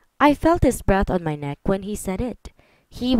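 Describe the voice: Silence behind some plain reading aloud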